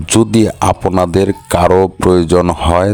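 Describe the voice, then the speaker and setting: A man's very deep, low pitch in a monotone, flat intonation, against noticeable background noise. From Bangladesh, Sunamganj (Sylhet region). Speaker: vlogger and limestone trader. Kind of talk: walking vlog, casual talk to camera. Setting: outdoors at a border crossing.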